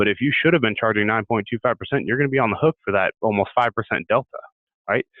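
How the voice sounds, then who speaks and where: A man talks at a very fast pace with lively intonation. The background is quiet and the sound is dry with no echo. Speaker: sales tax software rep; guest. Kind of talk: webinar presentation. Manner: repeats words, halting. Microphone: video call.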